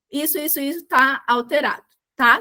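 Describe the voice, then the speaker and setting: Her raised, projected voice sits at a high pitch with a bright, sharp tone. The woman keeps a moderate pace and ordinary pitch variation. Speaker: medical exam tutor. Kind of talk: online tutorial. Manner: loud.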